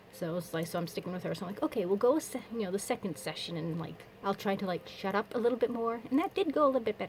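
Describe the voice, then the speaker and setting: A woman races along at a very fast pace with hardly any pauses, her medium pitch and lively intonation set against noticeable background noise. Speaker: vlogger. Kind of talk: casual personal vlog update. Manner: rambling, with false starts.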